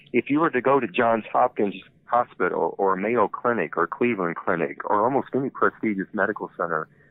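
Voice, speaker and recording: Speaking fairly quickly at medium pitch, a man has an ordinary speaking voice and lively intonation. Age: 60s. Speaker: health company founder and CEO. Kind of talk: podcast interview. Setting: phone call.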